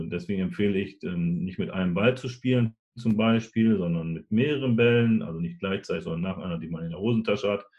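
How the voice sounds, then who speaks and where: With a normal speaking voice, a man of fairly low pitch talks at a moderate pace with lively intonation. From northwestern Germany, Nordhorn (Lower Saxony). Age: 40s. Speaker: sports club chairman with Parkinson's. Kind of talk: interview.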